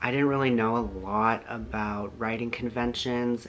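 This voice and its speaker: Over noticeable background noise, a man at medium pitch talks with fairly even intonation. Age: 20s. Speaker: author. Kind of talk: casual chat. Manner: many filler ums.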